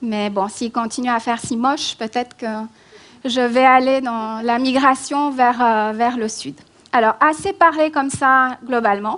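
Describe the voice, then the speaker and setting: This woman talks at a fairly slow pace. Her pitch is high, with ordinary pitch variation. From Romania, then France. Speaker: migration policy expert. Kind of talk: public lecture. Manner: hesitant, many fillers.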